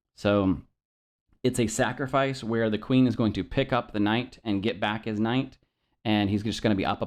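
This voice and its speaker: At a moderate pace, a man speaks at medium pitch with fairly even intonation over a quiet background. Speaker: chess teacher. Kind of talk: tutorial. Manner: halting, many fillers.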